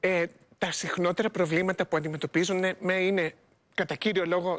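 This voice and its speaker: This woman's voice sits at a medium pitch. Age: 60s. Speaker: psychologist and author; guest. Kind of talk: TV interview. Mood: warm, smiling. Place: studio. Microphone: lapel.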